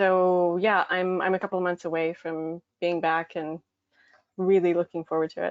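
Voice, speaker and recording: The speaker keeps a moderate pace with monotone, flat intonation. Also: woman. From Newfoundland, Stephenville. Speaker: aspiring web designer. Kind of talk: casual chat.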